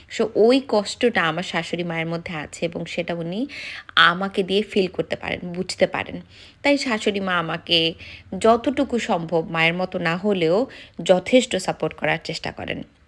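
A woman speaks in a normal speaking voice at a medium pitch. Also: ordinary pitch variation. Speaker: vlogger. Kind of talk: vlog narration. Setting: outdoors in a park.

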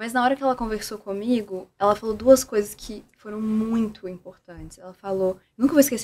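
Fairly quick, fairly evenly intoned speech from a woman with a fairly high pitch. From Brazil, Minas Gerais. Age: 20s. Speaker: therapist and communicator; podcast guest. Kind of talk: casual chat. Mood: reflective, warm, personal story. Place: studio. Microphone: studio mic.

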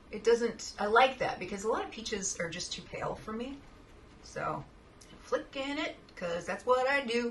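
A woman talks at a moderate pace with a fairly high pitch and lively intonation. Light background noise can be heard. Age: 40s. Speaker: makeup youtuber and fine artist; makeup youtuber. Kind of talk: makeup tutorial. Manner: animated. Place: home room. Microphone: webcam.

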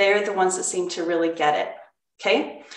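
Room echo is audible as a woman speaks over light background noise. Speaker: cooking class instructor. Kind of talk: online class talk. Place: kitchen. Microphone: webcam.

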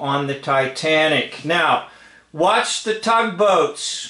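A man with a high-pitched voice talks against a quiet background, with audible echo from the room. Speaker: commentator. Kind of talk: casual video commentary. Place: home room. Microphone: phone near.

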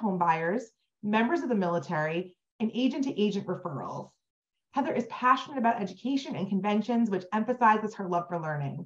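A woman with a plain, everyday voice, fairly high-pitched, lively in intonation, at a fairly quick pace against a quiet background. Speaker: webinar host for a realtor association. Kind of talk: webinar introduction. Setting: online webinar. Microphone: video call.

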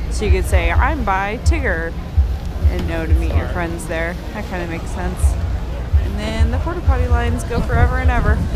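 Music in the background and a fairly quick pace. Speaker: vlogger runner. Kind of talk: casual vlog chat. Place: street. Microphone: phone near.

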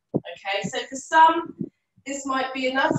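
A woman's high voice at a fairly slow pace, with audible room echo and light background noise. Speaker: yoga teacher. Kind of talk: guided yoga instruction. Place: home room.

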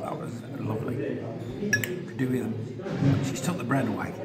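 Loud noise fills the background while the man's pitch varies in an ordinary way. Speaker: travel vlogger. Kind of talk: casual vlog chat. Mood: cheerful, relaxed. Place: cafe. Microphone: phone near.

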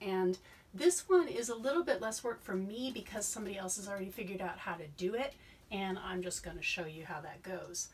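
Here a woman speaks with lively intonation. Light background noise can be heard. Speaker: science educator. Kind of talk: explanatory talk to camera.

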